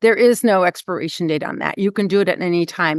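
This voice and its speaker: A woman is speaking here. Her pace is very fast. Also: quiet background. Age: 70s. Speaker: nonprofit CEO and former corporate leader. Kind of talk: podcast interview.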